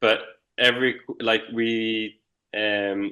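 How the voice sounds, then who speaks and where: Over a quiet background, a man with an Irish accent speaks in a medium pitch with a bright, sharp tone and monotone, flat intonation. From Israel. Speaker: Olympic windsurfer. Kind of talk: interview.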